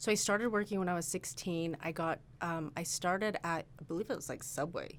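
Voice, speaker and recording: The speaker uses a normal speaking voice with ordinary pitch variation at a fairly quick pace. The recording is very clean, with a silent background. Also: woman. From Utah, Salt Lake City. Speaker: real estate agent. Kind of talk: casual interview chat. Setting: office studio.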